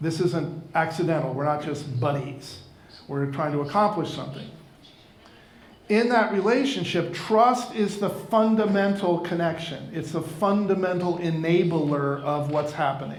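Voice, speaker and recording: Over noticeable background noise and audible room echo, the speech moves at a moderate pace with ordinary pitch variation. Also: man, high pitch for a man. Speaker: keynote speaker for financial advisors. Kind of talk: conference talk.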